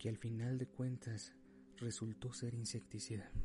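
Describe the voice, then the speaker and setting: Speaking at a fairly slow pace, the man has a medium pitch and a dark, mellow, somewhat breathy tone that sounds solemn, with monotone, flat intonation. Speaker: narrator. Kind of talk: dramatic first-person storytelling narration. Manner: solemn, grave, emotional; measured, suspenseful pacing.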